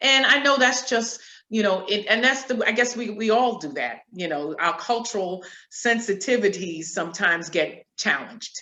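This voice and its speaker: A woman speaks in an unremarkable speaking voice at a fairly high pitch. Her intonation is lively. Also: moderate pace. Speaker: nurse executive. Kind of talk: interview.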